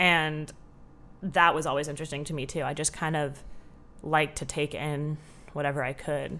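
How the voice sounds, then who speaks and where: A woman with an American accent speaks at a moderate pace, with long, frequent pauses. Her very deep, low pitch stays monotone and flat, and her tone is bright and sharp. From Southern California. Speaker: film student. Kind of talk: casual chat.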